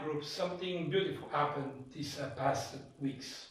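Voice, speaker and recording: A man with a French accent talks at a moderate pace and fairly high pitch, with ordinary pitch variation and audible room echo. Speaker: church host interviewer. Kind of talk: church testimony interview, interpreted. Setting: in a private home. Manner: halting, with many filler sounds.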